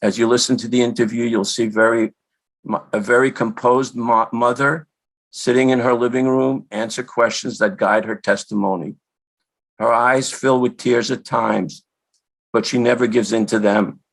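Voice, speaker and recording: A man with an American accent uses a normal speaking voice at a medium pitch with fairly even intonation, on a very clean recording with a silent background. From New York. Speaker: son of a Holocaust survivor. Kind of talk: introductory speech.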